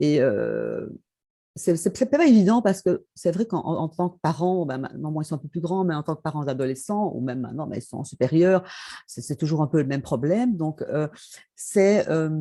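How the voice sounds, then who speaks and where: Against a quiet background, a woman with a very deep, low voice speaks with lively intonation. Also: moderate pace. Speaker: author and former chemical engineer. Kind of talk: interview. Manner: hesitant, many fillers.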